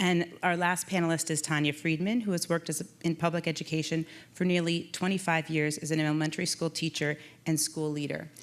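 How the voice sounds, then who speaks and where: A woman at a fairly quick pace, flat and monotone, on a very clean recording with a silent background. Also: fairly low pitch for a woman. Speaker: panel moderator, physician. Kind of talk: conference panel moderation. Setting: conference stage with audience. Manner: loud.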